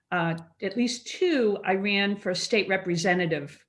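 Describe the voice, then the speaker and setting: The speaker is a woman. She talks with a Massachusetts accent. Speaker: school committee member. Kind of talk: casual chat. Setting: video call.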